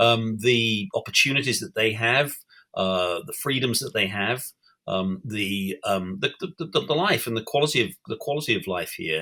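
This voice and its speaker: A man with a British accent speaks at a moderate pace in a medium pitch with a bright, sharp tone. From England. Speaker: newspaper editor and columnist. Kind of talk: interview. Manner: halting, many fillers and restarts.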